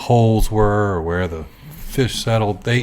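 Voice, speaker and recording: A man speaks with an American accent. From US South, Gloucester County, Virginia. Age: 60s. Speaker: artist and photographer. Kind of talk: interview.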